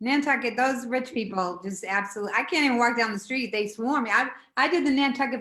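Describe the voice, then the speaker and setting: With a strong Boston accent, a woman with a high pitch talks at a very fast pace in a bright, sharp tone and fairly even intonation. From Boston, Dorchester. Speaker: stand-up comedian. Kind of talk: casual chat.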